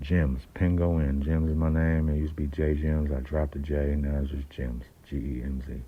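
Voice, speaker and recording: Amid noticeable background noise and audible room echo, a man with a very deep, low voice speaks at a moderate pace in a monotone, flat intonation. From San Francisco Bay Area (Oakland). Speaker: independent rapper. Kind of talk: casual monologue. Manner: halting, many fillers.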